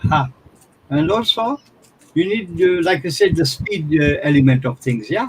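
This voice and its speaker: A man talks loudly at a moderate pace in a high pitch, leaving long, frequent pauses. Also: lively intonation. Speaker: forex trading mentor. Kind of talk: live trading session commentary. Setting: live stream video call. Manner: animated.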